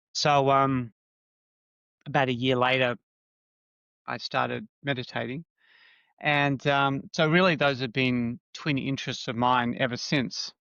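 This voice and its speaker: The speech moves at a fairly slow pace with fairly even intonation and long, frequent pauses. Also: man, medium pitch for a man. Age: 60s. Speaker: psychotherapist. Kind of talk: interview. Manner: halting.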